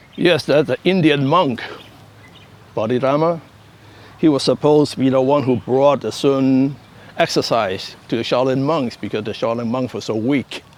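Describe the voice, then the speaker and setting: A man talks at a moderate pace with long, frequent pauses. His medium-pitched voice varies in an ordinary way over noticeable background noise. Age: 70s. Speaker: karate master. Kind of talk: interview.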